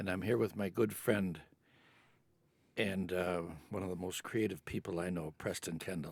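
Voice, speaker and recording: A man speaks with a very deep, low voice and an American accent, his pitch varying in an ordinary way. He talks at a moderate pace with long, frequent pauses on a very clean recording with a silent background. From Chicago. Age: 80s+. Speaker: Jesuit priest. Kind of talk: casual chat. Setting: indoor venue.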